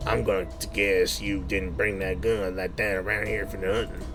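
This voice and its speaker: A man's drawling, put-on character voice at a moderate pace over loud background noise. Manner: slow drawl, words drawn out.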